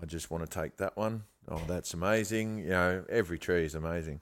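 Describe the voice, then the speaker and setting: On a very clean recording with a silent background, a man with a very deep, low pitch and an Australian accent speaks at a moderate pace with fairly even intonation. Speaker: bonsai grower, former nursery owner. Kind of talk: casual interview chat.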